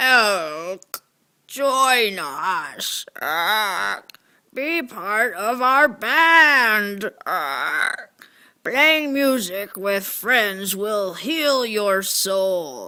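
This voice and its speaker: In a put-on character voice, a female-sounding speaker talks very slowly at a medium pitch, on a very clean recording with a silent background. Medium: stage play.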